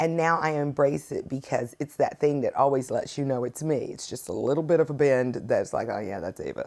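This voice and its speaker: A fairly quick delivery in a slight Southern US accent, with hardly any pauses. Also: woman. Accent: slight Southern twang. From US South. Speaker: singer-songwriter. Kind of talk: interview.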